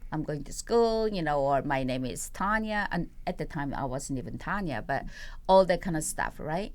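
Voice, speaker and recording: The speaker has a Korean accent and lively intonation. The pace is moderate. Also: woman, very deep, low pitch for a woman. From South Korea. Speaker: poet and playwright. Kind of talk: interview. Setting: studio. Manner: halting, many fillers.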